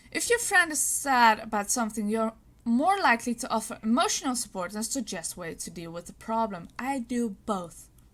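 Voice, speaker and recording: In an unremarkable speaking voice, a woman with a fairly high pitch speaks at a moderate pace with lively intonation and big swings in loudness. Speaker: vlogger. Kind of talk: casual vlog, reading and answering quiz questions.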